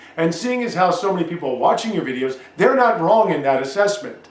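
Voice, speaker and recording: This man's pitch swings very widely, with noticeable background noise behind him. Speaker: self-published author. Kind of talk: casual rant to camera.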